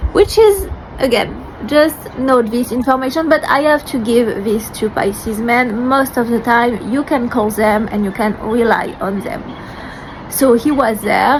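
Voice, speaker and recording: A high-pitched woman in a French accent at a fairly slow pace, ordinary pitch variation, and noticeable background noise. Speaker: vlogger sharing personal story. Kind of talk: personal testimony to camera. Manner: hesitant, with fillers.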